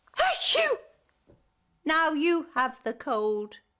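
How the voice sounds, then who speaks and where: A woman squeaks out a put-on character voice at extremely high pitch. Her pitch swings very widely. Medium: read story.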